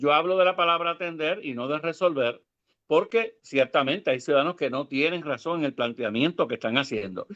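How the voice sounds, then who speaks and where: Against a quiet background, a man with an unremarkable speaking voice talks fairly quickly at a fairly high pitch. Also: lively intonation. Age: 60s. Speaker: government ombudsman. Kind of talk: interview.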